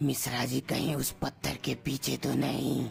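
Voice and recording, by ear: A raspy, cartoonish character voice takes on a menacing tone. Clear background noise runs beneath it. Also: moderate pace.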